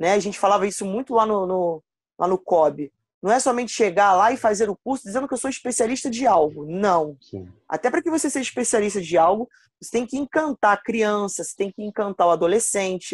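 A woman with an ordinary speaking voice talks fairly quickly at a medium pitch with lively intonation, the sound dry and close with no echo. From Rio de Janeiro, Campo Grande (West Zone). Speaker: basketball coach. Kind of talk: casual interview.

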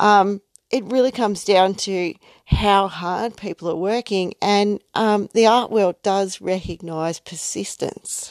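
In an Australian accent, a woman speaks at a very slow pace with medium pitch and fairly even intonation, in a dry, close sound with no echo on a very clean recording with a silent background. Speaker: podcast host, artist. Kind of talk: solo podcast monologue. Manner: hesitant, many fillers.

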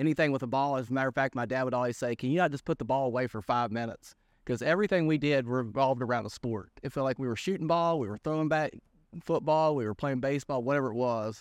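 A man at medium pitch with an Appalachian accent, speaking very fast, dry and close with no echo, over a quiet background. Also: ordinary pitch variation. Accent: West Virginia (Appalachian) American. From West Virginia, Greenbrier County. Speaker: fitness manager. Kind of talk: casual interview. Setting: studio.

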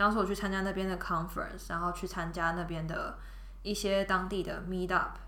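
A woman is heard with audible room echo around her voice. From Taiwan. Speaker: product manager. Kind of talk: casual chat. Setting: studio.

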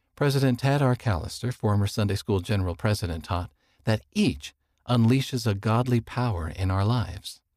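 An unremarkable speaking voice at a moderate pace, with very even loudness and ordinary pitch variation, on a very clean recording with a silent background and a dry, close sound with no echo. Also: man, fairly low pitch for a man. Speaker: audio magazine reader. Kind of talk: reading aloud.

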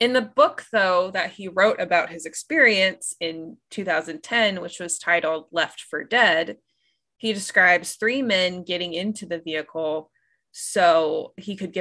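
Bright, sharp-toned woman with ordinary pitch variation and big swings in loudness, against a quiet background. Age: 20s. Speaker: podcast co-host, biologist. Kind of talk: casual chat; storytelling.

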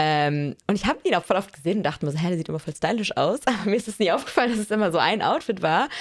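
At a very fast pace with hardly any pauses, a woman speaks at a medium pitch with lively intonation. Noticeable background noise is present. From small town in Germany. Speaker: fashion podcast co-host. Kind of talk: casual chat. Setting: recording together in Paris.

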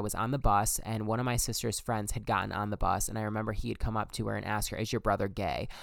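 Animated in tone, a man talks at a very fast pace. His pitch sits in the medium range. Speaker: podcaster. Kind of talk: casual chat. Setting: home recording, bedroom mic. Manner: animated, casual.

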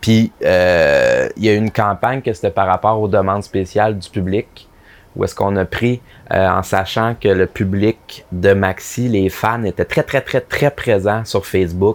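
At a fairly slow pace, a man talks in a fairly low pitch with a Quebec accent. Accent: Québécois French. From Quebec, Abitibi-Témiscamingue. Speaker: advertising copywriter. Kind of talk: casual interview.

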